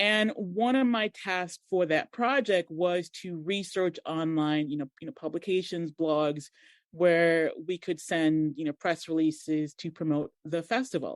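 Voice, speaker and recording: With an American accent, a woman speaks at a fairly slow pace with hardly any pauses, her pitch fairly low and ordinarily varied, in a dry, close sound with no echo and a quiet background. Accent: American twang. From Montserrat, then raised in US (Boston). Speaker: digital marketer and blogger. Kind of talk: podcast interview.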